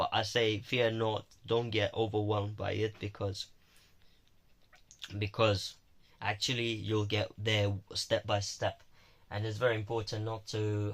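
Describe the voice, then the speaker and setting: A man's fairly low, somewhat breathy voice, monotone and flat, at a fairly slow pace with long, frequent pauses, on a very clean recording with a silent background. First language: Romanian. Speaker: university student vlogger. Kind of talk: casual vlog monologue. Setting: alone in own room. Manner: halting.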